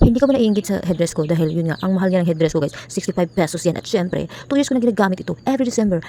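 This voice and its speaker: A soft-spoken woman talks very fast at a medium pitch, her intonation lively. Noticeable background noise runs under her voice. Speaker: vlogger. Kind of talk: vlog voice-over.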